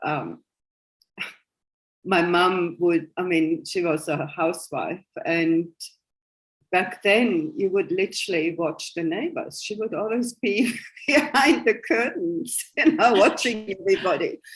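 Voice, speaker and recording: Very wide pitch swings from a woman speaking fairly slowly. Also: medium pitch for a woman. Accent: German. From Germany (West Germany). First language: German. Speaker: spiritual coach and psychic. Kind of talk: interview.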